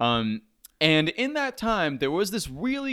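On a very clean recording with a silent background, a man talks at a fairly slow pace, his pitch swinging very widely. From Turkish background. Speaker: podcast co-host. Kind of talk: casual chat.

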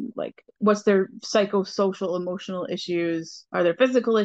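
A woman with an unremarkable speaking voice talks at a medium pitch and moderate pace with fairly even intonation. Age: 30s. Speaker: interview guest. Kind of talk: interview.

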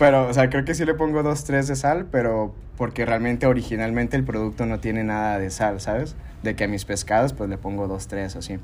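A man in a Mexican accent speaks at a fairly quick pace with lively intonation and a medium pitch, with audible room echo around him. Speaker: podcast host. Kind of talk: casual chat.

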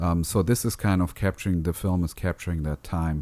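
A man's very deep, low voice with a dark, mellow tone, fairly even intonation and a non-native accent. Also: very clean recording, silent background. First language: not English. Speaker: podcast co-host discussing film editing. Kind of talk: casual chat; reading aloud. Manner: halting.

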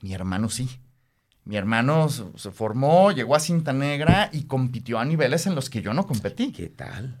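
Here is a man with an ordinary speaking voice at a medium pitch. His intonation is lively. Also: moderate pace. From Mexico City. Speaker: karate practitioner and business consultant. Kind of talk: interview.

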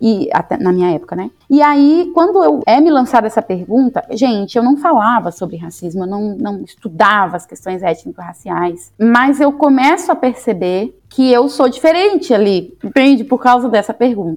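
A woman's high voice at a moderate pace, with very wide pitch swings and hardly any pauses. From Bahia, Vitória da Conquista. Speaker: astrophysicist and university lecturer. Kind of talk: interview.

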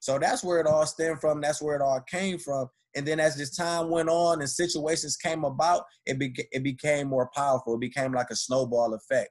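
Fairly high in pitch, a man talks at a fairly quick pace with ordinary pitch variation. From Detroit, Michigan. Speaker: motivational speaker. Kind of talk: interview testimony.

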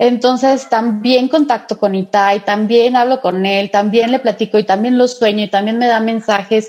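A fairly high-pitched woman at a moderate pace, fairly even in intonation and very even in loudness, with hardly any pauses and noticeable background noise. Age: 40s. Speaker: Reiki and angel therapist. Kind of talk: interview.

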